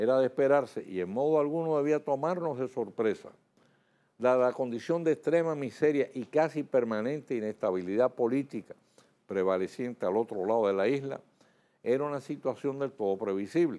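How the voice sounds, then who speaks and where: At a moderate pace, the voice has a dark, mellow tone and lively intonation. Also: man, medium pitch for a man. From Dominican Republic. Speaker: TV news debate host. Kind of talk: scripted news commentary. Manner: formal. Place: studio. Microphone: lapel.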